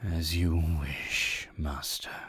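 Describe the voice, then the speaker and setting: A raspy put-on character voice with a very deep, low pitch. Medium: audio drama. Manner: taunting, laughing.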